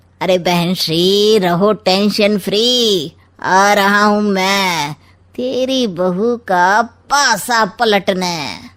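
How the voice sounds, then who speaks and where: In a cartoonish character voice at medium pitch, a woman speaks at a very slow pace on a very clean recording with a silent background. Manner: sly, mocking, smug.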